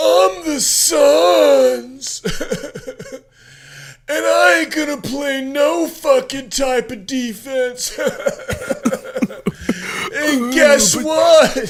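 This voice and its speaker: A man puts on a character voice with extremely high pitch. He talks very slowly, with long, frequent pauses. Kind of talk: crude, casual. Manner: bratty, defiant.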